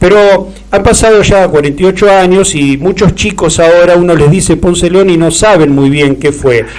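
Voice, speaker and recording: A high-pitched man at a moderate pace, with ordinary pitch variation, very even loudness, hardly any pauses and noticeable background noise. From Argentina. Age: 60s. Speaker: radio host. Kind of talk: interview.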